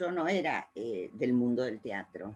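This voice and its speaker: Her pace is fairly slow. The woman's intonation is lively. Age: 70s. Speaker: art therapy trainer. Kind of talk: informational talk. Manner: frequent hesitations.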